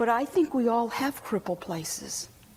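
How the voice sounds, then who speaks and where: The intonation is lively, at a moderate pace. Noticeable background noise runs underneath. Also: woman. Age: 60s. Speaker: inspirational speaker. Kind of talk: testimony. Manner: animated.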